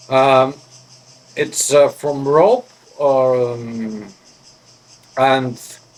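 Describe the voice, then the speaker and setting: A man speaks with a Greek accent over noticeable background noise. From Greece. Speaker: pipe smoking vlogger. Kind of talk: casual show-and-tell vlog. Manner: halting, hesitant.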